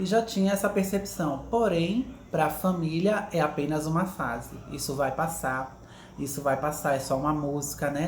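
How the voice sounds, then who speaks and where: Very deep, low-pitched woman's voice at a moderate pace, with audible room echo. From Pernambuco, Brazil. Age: 30s. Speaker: interviewee, HR recruiter. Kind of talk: interview testimony.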